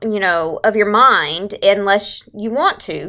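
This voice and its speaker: A woman with a Texas accent speaks at a very slow pace in a bright, sharp tone. The recording is very clean, with a silent background. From Southeast Texas. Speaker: religious education leader. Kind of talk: tutorial. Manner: casual, conversational.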